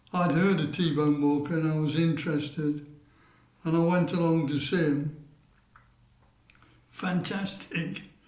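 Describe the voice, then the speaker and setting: Very slow, flat, monotone speech with audible room echo. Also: man. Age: 70s. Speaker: music fan telling memories. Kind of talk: storytelling to camera. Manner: hesitant, many fillers.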